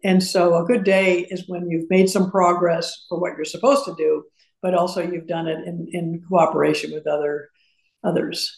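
At a moderate pace, an unremarkable speaking voice talks with fairly even intonation. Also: woman, fairly low pitch for a woman. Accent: American. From US Midwest (Madison, Wisconsin and Urbana, Illinois). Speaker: university fundraising executive. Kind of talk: interview.

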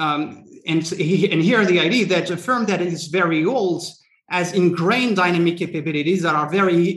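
This is a man with a high pitch. His pitch variation is ordinary. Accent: French. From France. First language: French. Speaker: antitrust scholar. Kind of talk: panel discussion. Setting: webinar.

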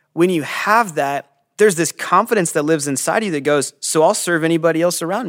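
With an American accent and an unremarkable speaking voice, a man talks fairly quickly at a fairly high pitch with ordinary pitch variation, in a dry, close sound with no echo on a very clean recording with a silent background. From California. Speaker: pastor. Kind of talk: casual chat.

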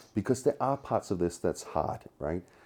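In a Danish accent, a man speaks at a moderate pace in a very deep, low, dark and mellow voice. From Denmark, Copenhagen. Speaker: tech company co-founder. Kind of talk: interview. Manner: animated.

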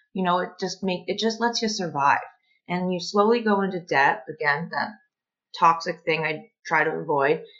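A woman has a plain, everyday voice at a fairly low pitch. She talks at a moderate pace with ordinary pitch variation. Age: 30s. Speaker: electrical apprentice. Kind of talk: podcast interview.

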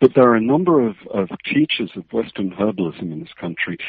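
A man talks with a British accent. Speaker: medical herbalist. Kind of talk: interview. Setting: phone call.

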